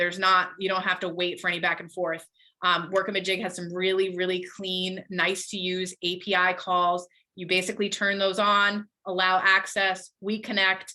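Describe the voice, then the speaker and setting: Bright, sharp woman's voice at medium pitch with monotone, flat intonation. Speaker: software sales representative. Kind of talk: webinar Q&A. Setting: online webinar. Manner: fast.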